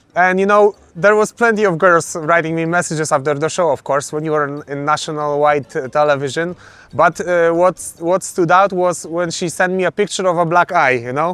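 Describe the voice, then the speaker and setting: Speaking with a Polish accent, a man with a high pitch keeps a moderate pace and ordinary pitch variation, with hardly any pauses. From Poland. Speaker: MMA fighter. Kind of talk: interview. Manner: halting.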